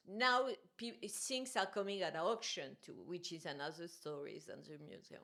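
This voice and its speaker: Speaking with a French accent at a moderate pace, the voice has a bright, sharp tone, very wide pitch swings and big swings in loudness. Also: woman, medium pitch for a woman. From France. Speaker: art journalist and curator. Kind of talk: casual conversation. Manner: animated.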